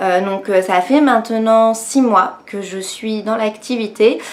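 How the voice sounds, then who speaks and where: Against noticeable background noise, a woman talks at a very slow pace with ordinary pitch variation. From France, Nancy (Lorraine). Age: 20s. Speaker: beauty youtuber and network marketing seller. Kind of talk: personal testimony vlog. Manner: hesitant, many fillers (euh, bah).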